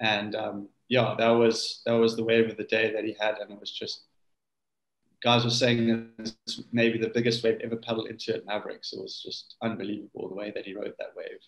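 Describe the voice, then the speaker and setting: With a South African accent, a man talks at a fairly quick pace. His loudness swings widely. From South Africa, Cape Town. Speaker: big wave surfer. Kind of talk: casual chat.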